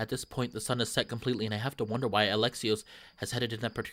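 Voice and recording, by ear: Someone reads the passage aloud in a natural voice.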